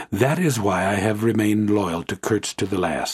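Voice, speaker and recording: A man with a fairly low pitch and a somewhat breathy voice talks at a moderate pace with lively intonation, in a dry, close sound with no echo. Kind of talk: literary audiobook reading, first-person narration of a classic novel.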